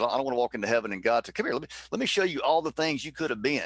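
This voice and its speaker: A man speaks very fast in a strong Southern US accent, his intonation lively. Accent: thick Southern. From US South, Mississippi. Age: 50s. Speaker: former baseball player. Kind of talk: casual chat.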